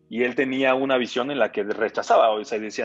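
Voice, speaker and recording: An ordinary speaking voice from a man, medium in pitch, with fairly even intonation and a fairly quick pace. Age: 20s. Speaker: entrepreneur. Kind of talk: casual chat.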